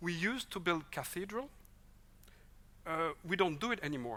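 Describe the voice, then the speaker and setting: A voice in a Swiss French accent, recorded very cleanly against a silent background. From French-speaking Switzerland. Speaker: vocational education expert. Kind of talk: conference presentation.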